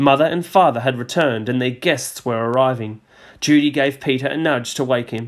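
The passage is read aloud in a natural voice, with ordinary pitch variation.

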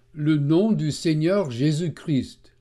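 A man's fairly high voice with a non-native accent and a dark, mellow tone, at a very slow pace with ordinary pitch variation. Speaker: Bible teacher. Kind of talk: religious teaching narration.

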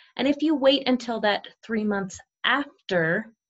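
A woman speaks at a very slow pace with ordinary pitch variation. The background is quiet. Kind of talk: tutorial. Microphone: webcam.

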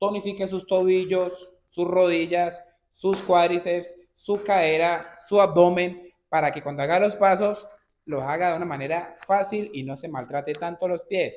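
This man speaks at a fairly slow pace with a high pitch and ordinary pitch variation. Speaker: dance instructor. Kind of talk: tutorial. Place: studio. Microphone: camera far.

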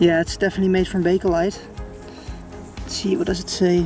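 The recording has a dry sound with no echo and clear music behind it. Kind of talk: casual vlog commentary. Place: forest. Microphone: phone near.

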